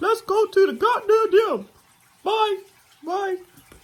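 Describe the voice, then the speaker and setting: A woman uses a cartoonish character voice at an extremely high pitch. She speaks at a very slow pace. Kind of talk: comedic puppet monologue to camera. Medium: puppet. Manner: brash, animated.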